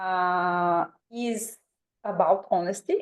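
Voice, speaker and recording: A woman speaks with a Bulgarian accent and ordinary pitch variation. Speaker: twelve-step program member. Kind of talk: testimony. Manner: halting.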